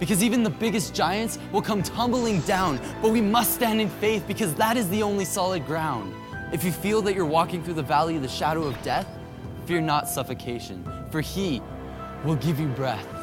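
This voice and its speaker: Over music in the background, a man speaks at a high pitch and moderate pace with lively intonation. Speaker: spoken word poet. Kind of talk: spoken word poetry performance at a church conference. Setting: live on stage at a church conference. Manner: rhythmic, rhymed delivery.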